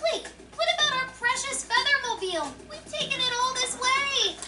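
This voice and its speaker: This is a put-on character voice, squeaky and extremely high. It moves at a moderate pace. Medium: video game.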